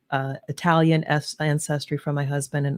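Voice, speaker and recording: Very deep and low for a woman, her voice carries an American accent and flat, monotone intonation, with a dry, close sound and no echo. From US East Coast, New Jersey/New York area. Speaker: leadership advisor and podcast host. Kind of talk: interview conversation. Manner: fast.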